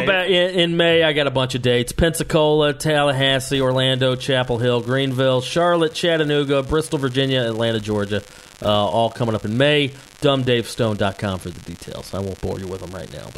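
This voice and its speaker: A man talks at a fairly quick pace with lively intonation and big swings in loudness. Noticeable background noise runs underneath. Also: medium pitch for a man. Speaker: podcast co-host, comedian; former radio DJ.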